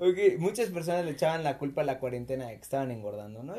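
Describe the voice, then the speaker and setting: Ordinary pitch variation in a man's dark, mellow tone. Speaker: podcast host. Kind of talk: casual chat. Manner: animated.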